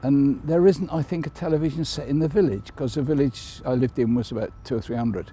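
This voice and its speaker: This man talks at a fairly quick pace in a dark, mellow tone that is somewhat breathy, with lively intonation. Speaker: Chelsea pensioner, army veteran. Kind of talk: interview answer.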